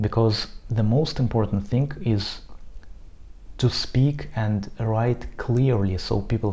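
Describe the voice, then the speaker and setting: In a Russian accent, a man speaks very slowly, somewhat breathy and dark and mellow in tone, with ordinary pitch variation. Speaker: Arabist. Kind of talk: casual talk to camera.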